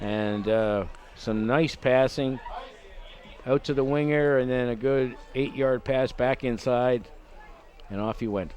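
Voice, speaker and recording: Through noticeable background noise, a man with a medium pitch talks at a very slow pace with long, frequent pauses. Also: fairly even intonation. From Canada. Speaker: rugby color commentator. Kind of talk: live sports commentary.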